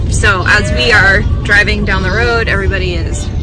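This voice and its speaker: A woman's voice with a dry sound and no echo, with clear music in the background. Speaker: travel vlogger parent. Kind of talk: casual vlog chat. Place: car. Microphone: phone near.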